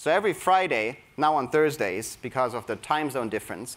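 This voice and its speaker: Speaking with a German accent at a moderate pace, this man has a fairly high pitch and very wide pitch swings. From Germany. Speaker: creativity coach at a tech company. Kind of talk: conference talk. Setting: stage with audience. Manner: energetic.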